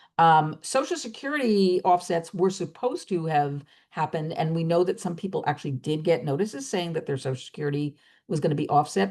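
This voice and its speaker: A woman talks at a fairly quick pace in a fairly low pitch, her intonation lively, against a quiet background. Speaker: student loan advisor, webinar host. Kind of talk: webinar presentation. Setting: online webinar. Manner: fast.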